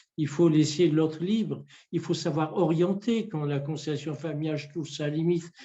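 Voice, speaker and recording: A man's dark, mellow voice at a moderate pace, fairly even in intonation but with big swings in loudness. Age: 60s. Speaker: family constellation therapist and trainer. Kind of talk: interview. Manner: hesitant, many repetitions.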